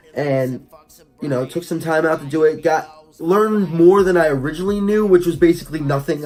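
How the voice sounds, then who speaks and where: A man with an American accent, fairly high pitch, fairly quick pace and ordinary pitch variation, with music in the background. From New Jersey, Wildwood. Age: 20s. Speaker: rapper and vlogger. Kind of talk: casual vlog. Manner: hesitant, many fillers.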